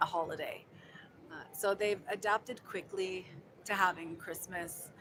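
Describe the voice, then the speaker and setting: A soft-spoken woman's fairly low voice, bright and sharp in tone, with monotone, flat intonation. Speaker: vlogger living abroad. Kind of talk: casual live stream chat. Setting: hotel lobby.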